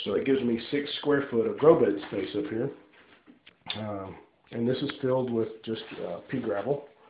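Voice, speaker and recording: Long, frequent pauses break up a man's speech, with audible room echo around it. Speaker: DIY hobbyist. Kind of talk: casual tutorial walkthrough. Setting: home bathroom. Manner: hesitant, many fillers.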